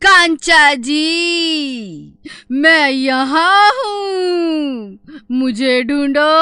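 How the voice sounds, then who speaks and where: A woman uses a cartoonish character voice pitched high. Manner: taunting, sly.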